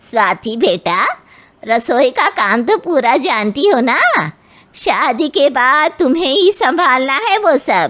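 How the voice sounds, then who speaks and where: In a put-on character voice, a woman speaks high and fairly slowly, her pitch swinging very widely while her loudness stays very even. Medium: read story. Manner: condescending.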